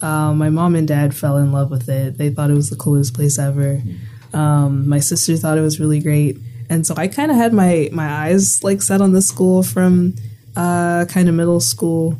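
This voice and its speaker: A woman with an American accent, very deep and low in pitch, with lively intonation, very even loudness, a moderate pace and noticeable background noise. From Bahamas. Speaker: university student. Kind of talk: casual conversation. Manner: animated, filler-heavy.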